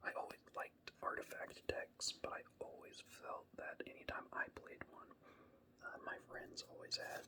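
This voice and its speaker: A whisper in a relaxed tone, with an American accent. The pace is fairly slow. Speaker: ASMR creator. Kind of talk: ASMR casual rambling while showing cards. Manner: soft-spoken, relaxed; hesitant with fillers.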